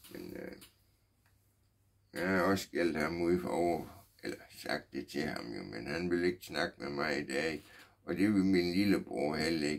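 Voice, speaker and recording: With vocal fry and a very deep, low pitch, a man talks at a fairly slow pace with long, frequent pauses and ordinary pitch variation. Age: 60s. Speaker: vlogger. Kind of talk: personal testimony. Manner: halting, many fillers.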